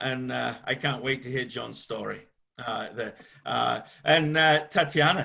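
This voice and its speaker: A man speaks at a moderate pace. His tone is bright and sharp. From England. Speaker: tech executive and webinar moderator. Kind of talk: webinar panel moderation. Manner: many filler sounds (uh, um); talkative.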